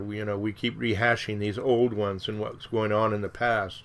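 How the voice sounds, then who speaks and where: This is an ordinary speaking voice, moving at a fairly quick pace with fairly even intonation. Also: man. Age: 60s. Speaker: radio show host. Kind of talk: solo radio monologue. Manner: conversational, with filler words.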